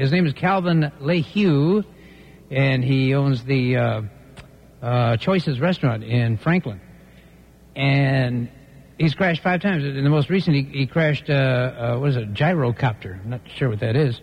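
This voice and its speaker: Long, frequent pauses break up this man's speech. His fairly high pitch, somewhat breathy, shows ordinary variation. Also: moderate pace. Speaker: radio host. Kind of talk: radio DJ patter. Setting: studio. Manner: animated.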